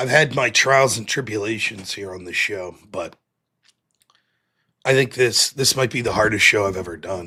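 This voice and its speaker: A man's raspy, put-on character voice at medium pitch, moderate in pace, with long, frequent pauses. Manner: mock-crying, comedic.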